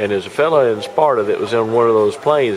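Faint music plays in the background. A man talks over it. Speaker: interviewer. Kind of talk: interview anecdote. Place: hall. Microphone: camera far.

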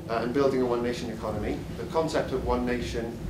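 Loud background noise runs under speech at a fairly quick pace. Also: man. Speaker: guest. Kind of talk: formal introduction to an audience. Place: hall.

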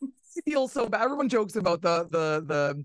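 A woman's fairly low-pitched voice moves through big pitch swings. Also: moderate pace.

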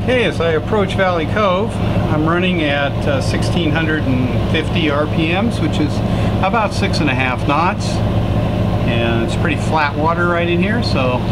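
The talking keeps a moderate pace. Loud noise sounds in the background. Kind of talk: casual narration while cruising. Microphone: phone near.

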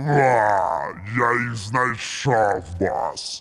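Growling at medium pitch, a man performs a put-on character voice. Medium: machinima. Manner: meows between threats.

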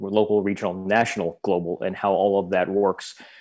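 A man talks at a fairly quick pace in a fairly low pitch. His intonation is flat and monotone, and the background is quiet. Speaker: think tank director and moderator; moderator. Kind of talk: panel moderation. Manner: formal. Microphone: video call.

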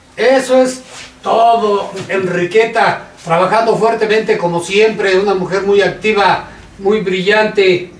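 Very slow speech from a man with a high pitch and very even loudness, in audible room echo. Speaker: news show co-host and organization president; news show co-host. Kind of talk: casual panel chat. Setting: studio. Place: studio.

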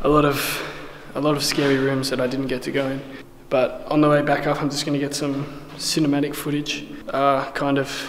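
There is noticeable background noise behind a man's voice. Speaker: urban explorer vlogger. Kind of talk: casual vlog chat. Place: tunnel cave. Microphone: phone near.

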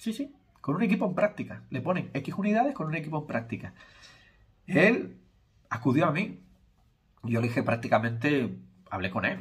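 A man speaks at a moderate pace with very wide pitch swings and vocal fry. He leaves long, frequent pauses against a quiet background. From Spain. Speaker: YouTuber and hair transplant consultant; YouTuber. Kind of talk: casual vlog monologue. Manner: informal, conversational. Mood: critical, explanatory. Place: home room. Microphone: phone near.

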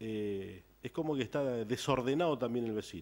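His pitch swings very widely as this man speaks at a moderate pace. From Argentina. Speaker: local politician. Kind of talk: political interview. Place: studio. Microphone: studio mic.

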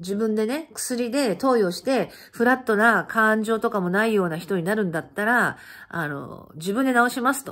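A woman's fairly high voice, animated in tone with lively intonation, at a moderate pace over a quiet background. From Japan. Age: 50s. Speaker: channel host sharing life stories. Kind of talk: casual monologue recounting personal life. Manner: animated, chatty, laughing. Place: home room. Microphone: phone near.

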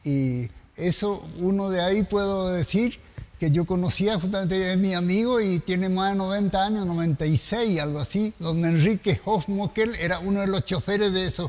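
A man with a high pitch and ordinary pitch variation speaks at a fairly slow pace over noticeable background noise. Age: old. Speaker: TV host. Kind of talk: casual chat.

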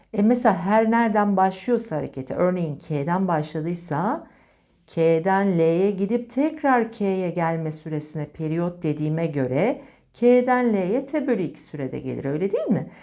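A woman at medium pitch with a dark, mellow tone, very wide pitch swings and a fairly slow pace, in a very clean recording with a silent background. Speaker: physics teacher. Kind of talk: lecture.

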